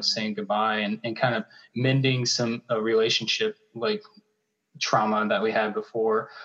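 The delivery is flat and monotone. It comes with an American accent. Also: man. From US South, Charlotte, North Carolina. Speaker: artist and art professor. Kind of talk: casual chat.

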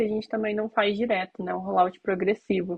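Her fairly high-pitched voice stays monotone and flat as the woman talks. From Curitiba, southern Brazil. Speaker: iOS software engineer. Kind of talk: casual chat.

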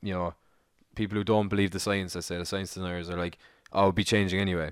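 In an Irish accent, a man talks at a very deep, low pitch with monotone, flat intonation. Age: 20s. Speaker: podcast co-host. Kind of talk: casual chat.

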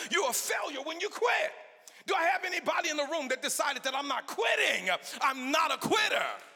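An American-accented man raises and projects his voice at an extremely high pitch, talking at a fairly quick pace. His intonation is lively, and there is noticeable background noise. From Los Angeles, US. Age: 50s. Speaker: guest preacher. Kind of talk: sermon. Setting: church with congregation.

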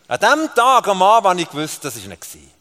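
A man with a Swiss accent speaks in a raised, projected voice with very wide pitch swings. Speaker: preacher. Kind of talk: sermon. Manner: animated.

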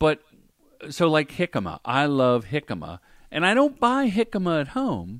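In an American accent, a man speaks at a fairly high pitch with very wide pitch swings. The sound is dry and close with no echo, on a very clean recording with a silent background. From Ohio. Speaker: film and commercial director, former stand-up comedian. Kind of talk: podcast interview.

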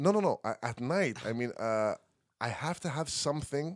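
A fairly high-pitched man at a moderate pace with lively intonation, dry and close with no echo, in a very clean recording over a silent background. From Montreal, Canada. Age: 30s. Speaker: singer and music producer. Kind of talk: casual chat.

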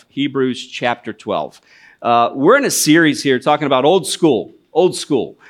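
The recording is very clean, with a silent background. It is an ordinary speaking voice at a moderate pace with ordinary pitch variation. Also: man. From US Midwest, northwest Ohio. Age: 40s. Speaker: missionary. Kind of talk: sermon. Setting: church.

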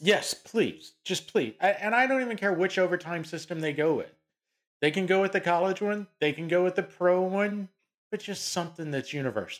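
On a very clean recording with a silent background, a man with an American accent talks at a fairly quick pace in a high pitch with ordinary pitch variation. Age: 40s. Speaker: sports podcast co-host. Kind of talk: casual chat. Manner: animated.

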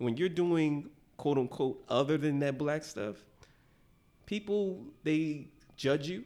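A man speaks at a very slow pace with long, frequent pauses. His pitch is fairly high. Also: ordinary pitch variation. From Philadelphia, West Philly. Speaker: podcast guest. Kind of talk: casual chat.

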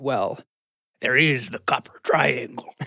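A put-on character voice, raspy, at a fairly slow pace.

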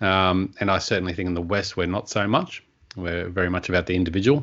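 A man's pitch is very deep and low. He rattles along at a very fast pace. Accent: Australian. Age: 30s. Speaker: podcast host, personal development coach. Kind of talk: interview.

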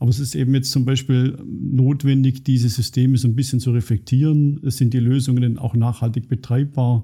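A man with a medium-pitched, dark and mellow voice that is somewhat breathy speaks at a fairly quick pace with fairly even intonation, very even loudness and hardly any pauses. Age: 50s. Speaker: IT director and computer science professor. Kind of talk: interview. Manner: hesitant with fillers.

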